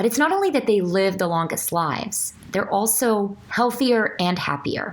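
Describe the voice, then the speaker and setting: The woman's intonation is lively. Noticeable background noise runs beneath her. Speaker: medical doctor. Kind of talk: casual talk to camera.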